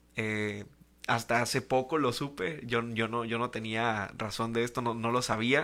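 In a very clean recording with a silent background, a man with a bright, sharp tone and medium pitch speaks at a fairly slow pace with fairly even intonation. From Tijuana, Mexico. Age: 20s. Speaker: church youth leader. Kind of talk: casual chat.

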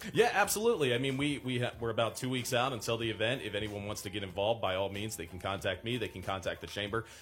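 A man with a medium pitch speaks at a very fast pace with hardly any pauses. Noticeable background noise runs under his voice. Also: ordinary pitch variation. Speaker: young professionals group chair. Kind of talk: radio interview. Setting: studio. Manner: smooth broadcast-style delivery.

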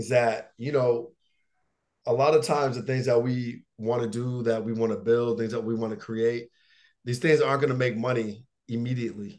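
A man with a plain, everyday voice talks at a moderate pace and medium pitch, his intonation fairly even. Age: 30s. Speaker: motivational speaker and coach. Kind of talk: casual interview.

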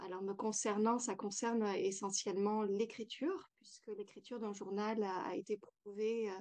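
A woman's dark, mellow, fairly high voice at a moderate pace. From France. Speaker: yoga teacher and author. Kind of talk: interview.

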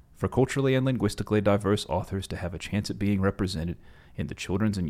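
In a very clean recording with a silent background, a man with an Appalachian accent talks at a very fast pace with a fairly low pitch. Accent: Appalachian American. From West Virginia, US Appalachia. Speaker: podcast host. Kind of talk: interview.

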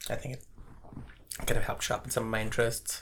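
A man speaks with ordinary pitch variation. His tone is bright and sharp. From India, Bangalore. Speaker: neuroscientist and math professor. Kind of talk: casual interview. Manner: fast.

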